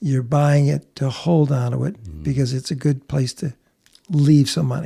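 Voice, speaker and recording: A man speaks at a moderate pace with fairly even intonation and a dark, mellow tone. His voice is somewhat breathy, and the sound is dry and close with no echo. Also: fairly high pitch for a man. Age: 70s. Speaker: bullion dealer. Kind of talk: interview answer.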